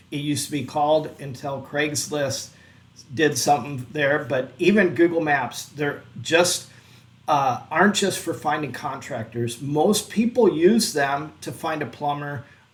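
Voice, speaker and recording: Somewhat breathy speech at a fairly slow pace, with ordinary pitch variation. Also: man. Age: 50s. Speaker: online business youtuber. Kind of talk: tutorial. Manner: casual, with frequent fillers and self-corrections.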